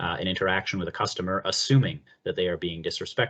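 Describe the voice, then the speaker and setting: Very fast speech from a man, fairly low in pitch, with ordinary pitch variation. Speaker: accessibility presenter. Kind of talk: webinar presentation. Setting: webinar.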